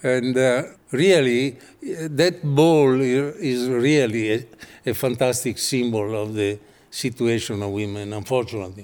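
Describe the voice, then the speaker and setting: A man speaks with an Italian accent at a medium pitch. He goes at a fairly slow pace, with ordinary pitch variation. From Italy. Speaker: architect and designer. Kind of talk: interview. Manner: halting.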